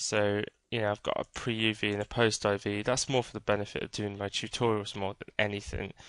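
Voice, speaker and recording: Fairly quick speech in a British accent over a quiet background. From Britain. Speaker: 3D game art tutor. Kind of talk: screen-recorded tutorial. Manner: casual, many fillers and hesitations.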